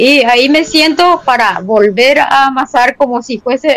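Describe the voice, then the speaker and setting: This woman's high-pitched voice moves at a fairly slow pace with ordinary pitch variation, captured with a dry, close sound and no echo. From Paraguay, Tobatí (Cordillera). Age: 50s. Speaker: potter and sculptor. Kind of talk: interview.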